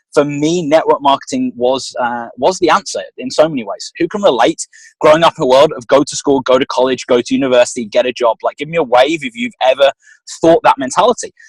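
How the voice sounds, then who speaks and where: In a dry, close sound with no echo, a man speaks very fast at a fairly high pitch, with lively intonation and an animated tone. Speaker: motivational trainer. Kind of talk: motivational talk on video call. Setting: video call.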